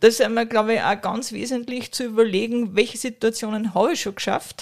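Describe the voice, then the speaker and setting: A woman talks in a plain, everyday voice with a fairly high pitch. Her intonation stays fairly even. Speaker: business executive. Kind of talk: interview. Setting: historic railway carriage.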